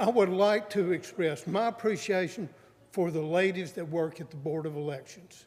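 A man with a North Carolina accent talks at a moderate pace. His pitch is high for a man, with ordinary pitch variation. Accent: Southern US (North Carolina). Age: 70s. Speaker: public commenter. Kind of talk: public comment at county meeting. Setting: county board meeting room.

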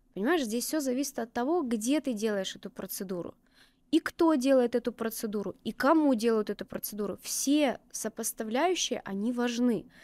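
A woman's high voice with lively intonation at a moderate pace, in a dry sound with no echo. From Krasnodar, southern Russia; Russia. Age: 30s. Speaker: permanent makeup artist; guest. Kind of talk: interview. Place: studio. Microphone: studio mic.

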